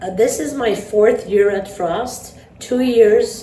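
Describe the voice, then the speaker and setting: Speaking in an Armenian accent at a fairly slow pace, a woman is heard over noticeable background noise. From New York. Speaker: math teacher. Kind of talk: interview. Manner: hesitant, many fillers.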